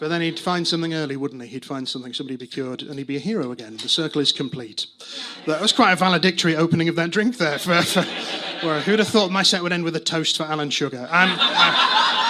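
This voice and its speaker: Against noticeable background noise, a high-pitched man talks very fast with lively intonation. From northern England, Manchester. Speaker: stand-up comedian. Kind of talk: stand-up. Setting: stage with audience. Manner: hesitant, many fillers and restarts.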